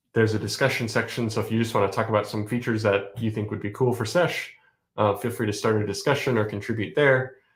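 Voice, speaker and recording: On a very clean recording with a silent background, a man speaks with a somewhat breathy voice and fairly even intonation. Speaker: software developer streamer. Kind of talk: casual live-stream chat. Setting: live stream. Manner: fast.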